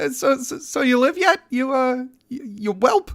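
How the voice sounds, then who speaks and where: Someone performs a put-on character voice at a high pitch and a moderate pace. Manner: stammering, nervous.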